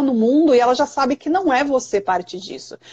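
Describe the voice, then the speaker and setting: The speaker is a woman with a high pitch. Her tone is dark and mellow. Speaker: early childhood specialist and podcast host. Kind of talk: live stream conversation. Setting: live stream video call. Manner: loud.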